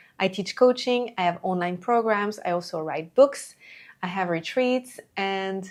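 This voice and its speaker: Speaking at a fairly slow pace, a woman with a French accent uses a medium pitch and ordinary pitch variation. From France. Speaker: entrepreneur and coach. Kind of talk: talking-head video monologue.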